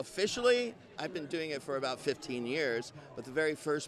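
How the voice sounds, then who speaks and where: Over noticeable background noise, a man with a fairly high-pitched voice speaks with lively intonation. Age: 60s. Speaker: wildlife educator. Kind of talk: interview.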